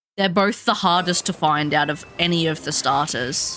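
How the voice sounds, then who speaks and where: Someone with an Australian accent talks at a fairly slow pace. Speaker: game streamer. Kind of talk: casual chat. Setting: live stream.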